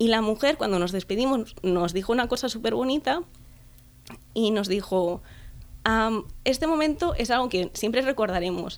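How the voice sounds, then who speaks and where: An unremarkable speaking voice moves at a moderate pace with lively intonation and very even loudness. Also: woman, fairly high pitch for a woman. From Catalonia, Spain (Tarragona area). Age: 20s. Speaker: travel blogger. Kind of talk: interview.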